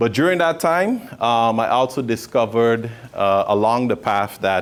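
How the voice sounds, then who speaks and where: A man speaks with a Sint Maarten accent. His pace is moderate. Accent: Caribbean (Sint Maarten). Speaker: motivational speaker, entrepreneur. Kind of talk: motivational speech to students. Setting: hotel venue, audience of students. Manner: conversational with frequent fillers.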